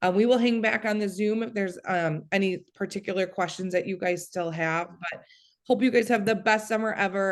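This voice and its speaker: A woman talks fairly quickly with a quiet background behind her. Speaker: college counselor. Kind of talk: informational presentation. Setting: video call. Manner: fast.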